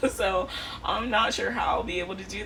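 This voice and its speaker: A woman speaks at a moderate pace. The recording has noticeable background noise and audible room echo. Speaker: vlogger. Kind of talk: casual vlog talk. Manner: casual, filler-heavy; loud.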